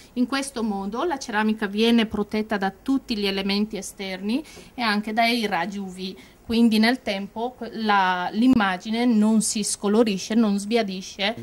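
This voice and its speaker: A woman talks fairly slowly in a plain, everyday voice. Her pitch is fairly high, and her intonation stays fairly even. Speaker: production manager. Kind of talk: interview. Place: workshop. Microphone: handheld.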